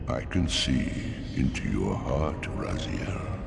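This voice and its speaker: Over loud background noise, a man puts on a character voice at a fairly slow pace, with a clear echo around him. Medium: game stream. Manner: grand, sermonizing.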